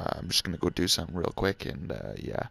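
The voice is quiet and carries vocal fry. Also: man. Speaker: gaming YouTuber. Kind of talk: casual channel update monologue. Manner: halting, many fillers; speaking quietly on purpose.

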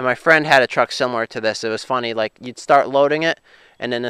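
Over a quiet background, a man talks at a very fast pace, the sound dry with no echo. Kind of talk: casual vlog chat. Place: open country. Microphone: phone near.

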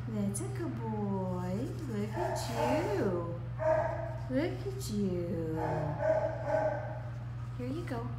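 Over loud background noise, a woman talks at a very slow pace with long, frequent pauses. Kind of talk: soft coaxing talk to a dog. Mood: gentle, soothing, reassuring. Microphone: phone near.

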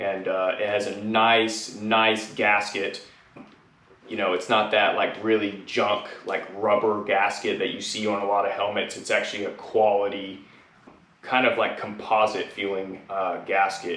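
The voice is monotone and flat at a fairly slow pace, with audible room echo and light background noise. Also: man, fairly low pitch for a man. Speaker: helmet reviewer. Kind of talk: product review talk. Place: garage. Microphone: camera far.

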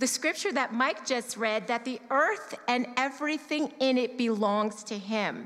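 Over a quiet background, a woman talks at a fairly slow pace with lively intonation. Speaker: church member sharing testimony on giving. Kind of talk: testimony, personal talk to congregation. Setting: church service. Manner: conversational, candid. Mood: sincere, reflective. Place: church. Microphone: handheld.

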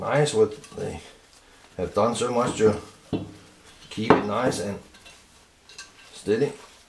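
Over loud background noise, a man talks at a very slow pace with long, frequent pauses, big swings in loudness and ordinary pitch variation. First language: not English. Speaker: woodworker. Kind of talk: casual product review while unboxing and testing. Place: workshop. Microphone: camera far.

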